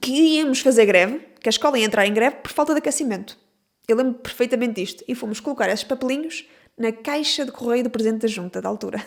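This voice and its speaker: A woman with a high pitch speaks at a very fast pace, her pitch varying in an ordinary way. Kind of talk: casual podcast conversation.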